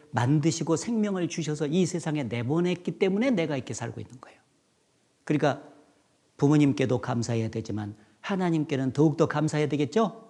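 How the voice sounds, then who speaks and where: Here a man speaks at a fairly high pitch with a dark, mellow tone. His intonation is lively and his pace fairly quick. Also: big swings in loudness. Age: 60s. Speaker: pastor. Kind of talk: sermon.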